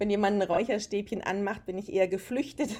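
Her tone is dark and mellow, and her pitch is medium. The woman's pitch variation is ordinary. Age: 40s. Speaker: aroma and wellness consultant. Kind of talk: casual interview.

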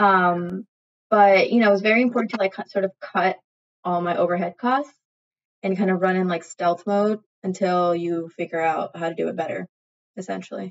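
With an American accent and an ordinary speaking voice, a woman at medium pitch talks at a moderate pace with fairly even intonation, in a dry, close sound with no echo. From Ohio, US. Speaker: clothing brand founder and artist. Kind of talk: casual interview. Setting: podcast interview.

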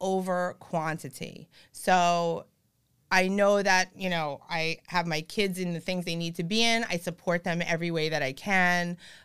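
A woman with an animated tone speaks at a medium pitch with ordinary pitch variation. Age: 40s. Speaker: real estate broker. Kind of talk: casual chat.

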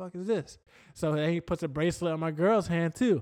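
In a very clean recording with a silent background, a man with an American accent and a plain, everyday voice speaks at a fairly high pitch and fairly quick pace with ordinary pitch variation. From Florida. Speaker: podcast co-host. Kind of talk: casual chat.

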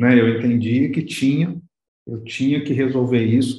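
A man talks at a fairly slow pace with a medium pitch. His tone is dark and mellow. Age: 40s. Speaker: business consultant. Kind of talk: interview.

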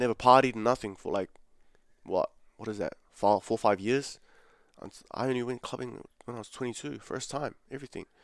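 With big swings in loudness and long, frequent pauses, a man speaks in a New Zealand accent, the sound dry and close with no echo. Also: medium pitch for a man, fairly even intonation, fairly quick pace. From New Zealand, South Auckland. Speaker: calisthenics athlete and online coach. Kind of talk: casual interview.

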